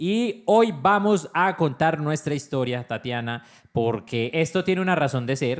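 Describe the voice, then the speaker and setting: At a fairly slow pace, a man speaks in an unremarkable speaking voice pitched fairly high. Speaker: podcast co-host, father. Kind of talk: casual chat.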